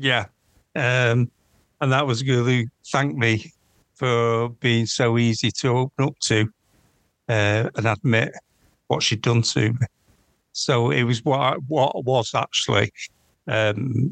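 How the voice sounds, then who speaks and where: A man with a Mancunian accent at medium pitch and a fairly slow pace, with ordinary pitch variation, long, frequent pauses, very even loudness, and a dry, close sound with no echo. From northern England, Manchester. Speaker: fraud investigator. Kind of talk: interview. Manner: halting, many ums.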